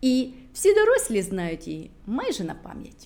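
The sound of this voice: At a moderate pace, a woman's fairly high voice makes very wide pitch swings, her tone slightly mellow.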